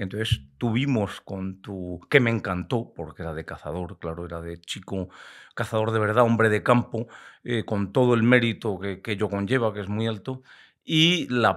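A man speaks at a moderate pace with a fairly low pitch. His pitch varies in an ordinary way, and the background is quiet. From Spain, Valladolid (Castile); Castile, Spain. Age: 60s. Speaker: biologist and hunting media veteran; podcast guest. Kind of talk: casual interview chat. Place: studio. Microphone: studio mic.

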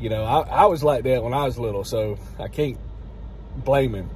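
Over light background noise, a man speaks at a fairly quick pace. His pitch varies in an ordinary way, and the sound is dry with no echo. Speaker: vlogger grandfather. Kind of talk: casual vlog chat. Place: car. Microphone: phone near.

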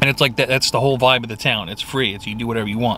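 Light background noise is heard as a man speaks in a dry sound with no echo. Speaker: food reviewer. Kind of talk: casual vlog chat. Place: car. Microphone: phone near.

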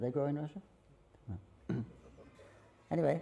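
Somewhat breathy and dark, mellow in tone, a man talks at a moderate pace with lively intonation. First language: English (speaking Russian). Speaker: visiting Hare Krishna lecturer. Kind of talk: lecture. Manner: halting. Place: hall. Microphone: podium.

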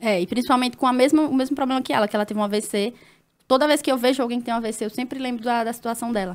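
At a very fast pace, a woman talks in a high pitch with fairly even intonation. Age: 20s. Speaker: nurse and influencer; influencer. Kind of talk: casual chat. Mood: personal, reflective storytelling. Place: studio. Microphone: studio mic.

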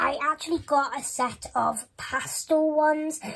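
With a Welsh accent, a woman speaks at a very slow pace. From Wales. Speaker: YouTuber. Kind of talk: show-and-tell vlog. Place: home room. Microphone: phone near.

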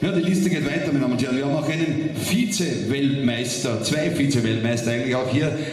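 Over loud background noise, a man talks at a fast pace and medium pitch, with ordinary pitch variation.

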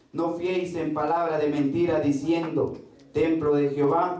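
Over light background noise and an audible room echo, a man with a fairly high pitch talks at a fairly slow pace in a monotone, flat intonation. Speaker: church preacher. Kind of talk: sermon preached to a congregation. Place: church.

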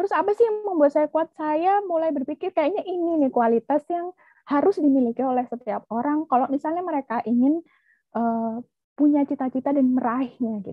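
Recorded dry with no echo against a quiet background, a woman speaks fairly quickly at a high pitch with lively intonation. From Indonesia. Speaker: researcher; webinar presenter. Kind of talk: presentation. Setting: video call. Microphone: video call.

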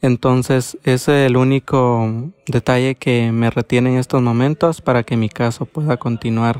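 A man's flat, monotone delivery with hardly any pauses, dry and close with no echo. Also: medium pitch for a man, fairly slow pace. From Honduras, Copán. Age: 20s. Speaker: migrant asylum seeker. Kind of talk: personal testimony. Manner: halting, with fillers.

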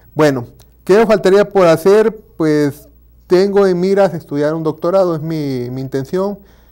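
A man with a Tabasco accent, dark and mellow in tone, at a moderate pace with ordinary pitch variation and a quiet background. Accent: Mexican Spanish, Tabasco. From Mexico, Villahermosa, Tabasco; Tabasco, Mexico. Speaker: university lecturer; teacher being interviewed. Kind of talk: interview. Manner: halting. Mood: relaxed, reflective. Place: studio. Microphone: lapel.

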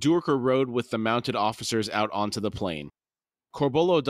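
Against a quiet background comes plain reading aloud.

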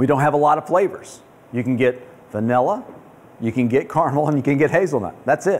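A man races along at a very fast pace, his pitch varying in an ordinary way. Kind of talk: lecture. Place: cafe.

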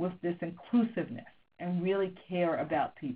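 A normal speaking voice at a moderate pace. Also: woman. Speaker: business school professor. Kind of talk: webinar lecture. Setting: phone conference.

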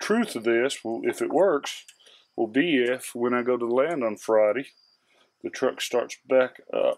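A man speaks at a fairly slow pace with ordinary pitch variation. He leaves long, frequent pauses. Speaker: hobbyist reviewer. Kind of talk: tutorial. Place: garage.

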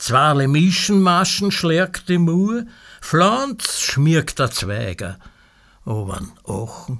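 In a Viennese accent, a man speaks very slowly with a fairly high pitch that swings very widely. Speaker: poet. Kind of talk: sound poetry reading.

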